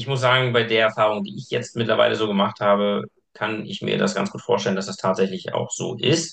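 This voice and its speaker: This man has an ordinary speaking voice at a medium pitch. He talks at a fairly quick pace with ordinary pitch variation. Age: 30s. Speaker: personal trainer. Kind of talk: casual chat.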